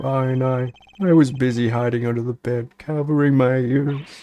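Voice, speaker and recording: A man puts on a character voice. It sits at medium pitch. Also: moderate pace. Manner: timid, fearful.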